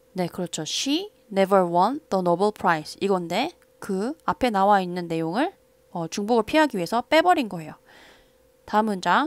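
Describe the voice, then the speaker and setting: In a very clean, dry, close recording with a silent background and no echo, a woman at a medium pitch uses lively intonation, speaking at a moderate pace with long, frequent pauses. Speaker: English teacher. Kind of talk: lecture.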